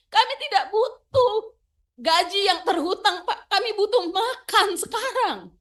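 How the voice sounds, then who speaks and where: A woman speaks loudly. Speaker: labor union representative. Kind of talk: testimony at parliamentary hearing. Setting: parliamentary committee hearing. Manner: emotional, halting.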